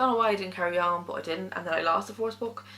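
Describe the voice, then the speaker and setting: Someone speaks with an Irish accent and fairly even intonation. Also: woman. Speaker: book vlogger. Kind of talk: casual monologue. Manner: fast; mumbling.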